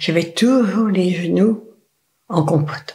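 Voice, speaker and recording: Pitch variation here is ordinary. It belongs to a woman. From Brittany. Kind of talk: interview answer.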